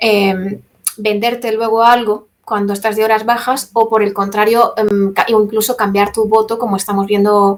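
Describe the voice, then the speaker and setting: A woman's fairly high voice, flat and monotone in intonation. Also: moderate pace. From Spain, Castilla-La Mancha. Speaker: environmental activist. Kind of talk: talk with Q&A.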